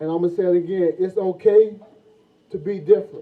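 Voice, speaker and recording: Someone talks at a fairly quick pace with a Southern US accent over noticeable background noise. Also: man. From US South, Florida. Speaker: former football player, motivational speaker. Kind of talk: motivational speech. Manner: repetitive, halting.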